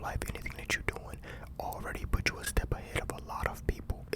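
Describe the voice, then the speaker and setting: Someone whispers at a very fast pace over noticeable background noise. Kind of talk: ASMR motivational talk. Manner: whispered.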